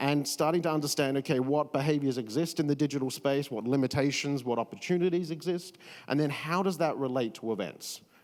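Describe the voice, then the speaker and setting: Speaking at a very fast pace with an Australian accent, a man uses a fairly high pitch and lively intonation. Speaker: event experience strategist. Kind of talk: panel discussion.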